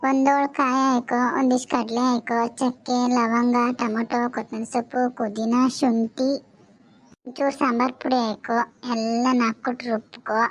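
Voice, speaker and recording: Using a cartoonish character voice, a woman speaks very slowly at a high pitch with monotone, flat intonation. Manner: bossy, chatty.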